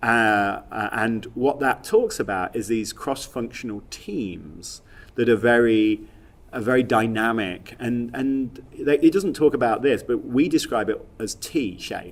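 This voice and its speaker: This man has a Leicester accent and a medium pitch with ordinary pitch variation. He speaks at a fairly slow pace. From England, Leicester. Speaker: software industry executive. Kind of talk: podcast interview. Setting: at a conference. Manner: halting, many repetitions and fillers.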